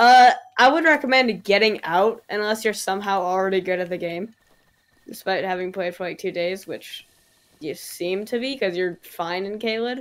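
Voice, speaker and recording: A woman's unremarkable speaking voice at medium pitch and moderate pace. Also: ordinary pitch variation. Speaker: gaming streamer. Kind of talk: casual chat.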